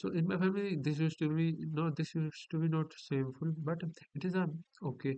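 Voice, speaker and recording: A man speaks with a fairly high pitch and a dark, mellow tone. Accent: Indian. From India. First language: Hindi. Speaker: vlogger. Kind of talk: casual vlog monologue. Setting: home at night, laptop recording. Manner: halting.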